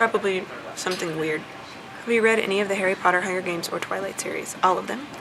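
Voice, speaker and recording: A quiet woman's voice at a very fast pace, with ordinary pitch variation, audible room echo and noticeable background noise. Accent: American. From US South. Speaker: vlogger. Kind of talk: casual chat. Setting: airport.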